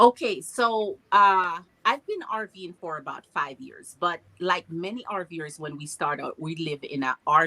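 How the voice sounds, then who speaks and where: A woman with a Jamaican accent talks at a fairly slow pace and a fairly low pitch, her tone bright and sharp, her intonation lively, the sound dry and close with no echo. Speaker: RV traveler. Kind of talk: casual chat.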